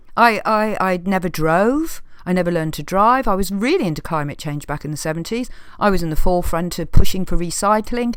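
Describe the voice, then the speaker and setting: Lively intonation marks this woman's medium-pitched voice, spoken with an English accent. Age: 60s. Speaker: video blogger. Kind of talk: casual rant to camera. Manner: animated.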